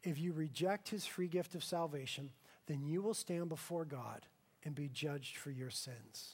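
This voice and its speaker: A man with an ordinary speaking voice talks at a moderate pace, his pitch fairly high and its variation ordinary. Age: 30s. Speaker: pastor. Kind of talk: sermon.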